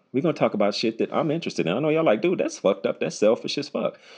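Against a quiet background, a man talks at a very fast pace. His intonation is lively and his tone animated. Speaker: podcast host and comedian. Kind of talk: casual solo podcast monologue, explicit. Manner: animated, casual, profane, conversational.

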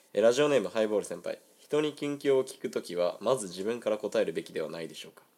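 A man speaks at a very fast pace with hardly any pauses and big swings in loudness. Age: 20s. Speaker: amateur radio host. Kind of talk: casual chat. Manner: animated.

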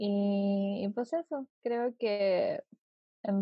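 A woman at medium pitch with a Chilean accent. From southern Chile (Puerto Montt). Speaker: journalism student. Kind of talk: casual chat.

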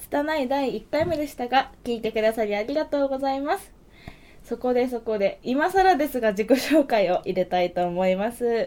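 Lively intonation at a moderate pace, with big swings in loudness. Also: woman, high pitch for a woman. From Hokkaido, Japan. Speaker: podcast host and musician. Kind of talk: casual chat. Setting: studio.

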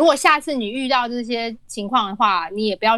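Bright and sharp in tone, a woman speaks fairly quickly at a fairly high pitch with ordinary pitch variation. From Taiwan. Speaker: author. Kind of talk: casual chat.

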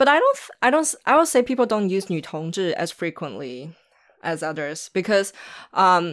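A woman with a Chinese accent, very wide pitch swings and a moderate pace, on a very clean recording with a silent background. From Shanghai, China. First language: Mandarin Chinese. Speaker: documentary filmmaker and activist. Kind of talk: casual interview.

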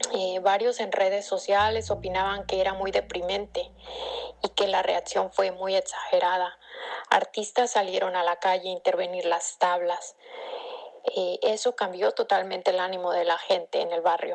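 Noticeable background noise sits under a woman talking at a moderate pace. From Mexico, Acapulco, Guerrero. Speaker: cultural manager and curator. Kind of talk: recorded personal reflection.

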